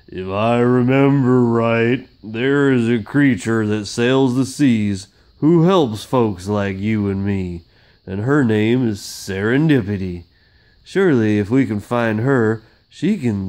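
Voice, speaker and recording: A man puts on a booming, loud character voice. He goes at a fairly slow pace over a quiet background. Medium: read story.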